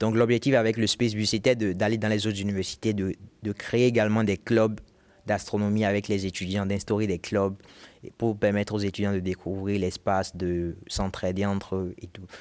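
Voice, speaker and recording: A man's fairly low, monotone voice with flat intonation at a moderate pace, in a very clean recording with a silent background. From Benin. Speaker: physics student, astronomy club founder. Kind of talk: interview. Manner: halting, fillers.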